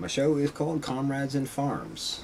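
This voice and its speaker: Noticeable background noise sits behind a man speaking. He has an American accent and keeps a moderate pace. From upstate New York (Red Hook). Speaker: radio host and small-scale farmer. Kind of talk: live radio show monologue. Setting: live stream broadcast. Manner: halting, many fillers.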